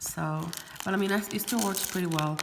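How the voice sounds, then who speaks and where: The room echo is audible and background noise is noticeable. Through it, a woman speaks at a fairly low pitch. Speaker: beauty vlogger. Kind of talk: product haul video. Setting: garage. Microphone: echo in the room.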